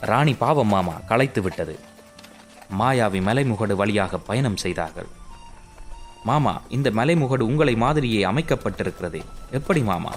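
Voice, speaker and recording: A man at medium pitch with lively intonation and music in the background. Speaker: voice-over artist. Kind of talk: animated comic story narration. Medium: cartoon.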